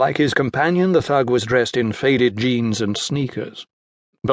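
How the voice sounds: A natural reading voice is heard with little sound behind it.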